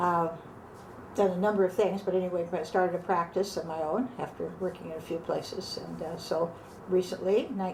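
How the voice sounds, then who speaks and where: A woman speaks with a Pacific Northwest accent at a medium pitch. Her pace is fairly quick, with ordinary pitch variation. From Seattle, West Seattle. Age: 80s. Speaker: retired architect. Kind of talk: oral history interview. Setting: at home.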